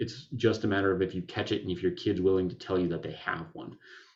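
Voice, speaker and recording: Over a quiet background, a man speaks at a very deep, low pitch with fairly even intonation. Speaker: functional neurologist. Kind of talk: webinar presentation. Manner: fast.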